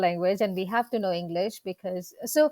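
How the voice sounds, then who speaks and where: Speaking at a moderate pace with a Gujarati accent, a woman comes through dry and close with no echo on a very clean recording with a silent background. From India, Gujarat. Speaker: dentist and practice coach. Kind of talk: interview.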